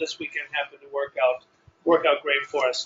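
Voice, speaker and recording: A man talks at a fairly quick pace. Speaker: business training leader. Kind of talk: training seminar opening. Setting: hotel meeting room with audience.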